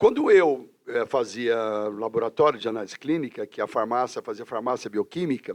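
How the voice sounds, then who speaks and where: A man's plain, everyday voice with lively intonation, moderate pace and a quiet background. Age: 60s. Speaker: teacher and career counselor. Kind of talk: casual interview chat.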